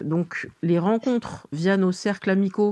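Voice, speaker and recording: A woman is talking. Her voice has a dark, mellow tone. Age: 40s. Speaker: interviewee sharing dating life. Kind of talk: interview. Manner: hesitant, many fillers.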